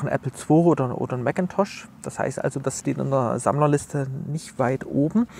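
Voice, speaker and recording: The pace is moderate. A man is speaking, and his pitch varies in an ordinary way. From Leipzig, eastern Germany. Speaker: author and computer history collector. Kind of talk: casual interview. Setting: outdoors in front of a cultural hall.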